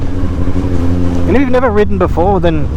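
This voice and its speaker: A man's voice with very wide pitch swings, audible room echo, and noticeable background noise. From Newcastle, northern England. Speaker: motorcycle vlogger. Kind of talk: casual monologue while riding. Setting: riding a motorcycle outdoors. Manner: casual and rambling.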